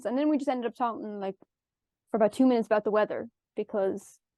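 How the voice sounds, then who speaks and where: A woman with an Irish accent speaks at a very fast pace in a dark, mellow tone. Her pitch varies in an ordinary way, and the sound is dry and close with no echo. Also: fairly high pitch for a woman. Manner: gets extremely high-pitched when excited.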